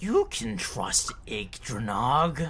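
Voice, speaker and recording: A man performs a put-on character voice. Clear background noise can be heard behind him. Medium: actual play. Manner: curious, probing.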